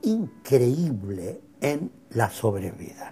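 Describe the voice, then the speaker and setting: Over music in the background, the speaker talks at a very slow pace with an Argentine accent. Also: man. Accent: Argentine Spanish (Rioplatense). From Argentina. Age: 80s+. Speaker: cardiologist. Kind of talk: interview.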